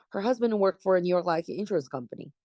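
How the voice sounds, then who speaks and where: A woman with a Chinese accent speaks in a dark, mellow tone. The sound is dry and close, with no echo. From China, Jilin province. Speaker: real estate agent. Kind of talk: oral history interview answer.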